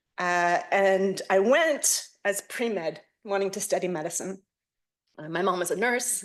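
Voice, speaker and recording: An American accent comes through. Behind it, the background stays quiet. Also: woman. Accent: American accent in English and Hebrew. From United States. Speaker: professor. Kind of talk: lecture. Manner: hesitant, many filler sounds.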